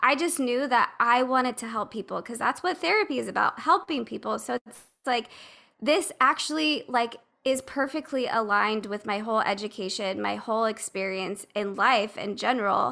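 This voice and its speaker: A woman with a fairly high, bright, sharp voice speaks at a moderate pace with lively intonation and vocal fry. Her loudness swings widely. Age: 30s. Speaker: podcaster and patient. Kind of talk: casual chat.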